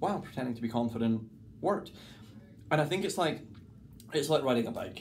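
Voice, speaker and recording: A man's voice in a central Lowlands Scottish accent, with audible room echo. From Scotland, between Glasgow and Edinburgh. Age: 30s. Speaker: mentalist and stage performer. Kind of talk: casual interview chat. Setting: dressing room between shows.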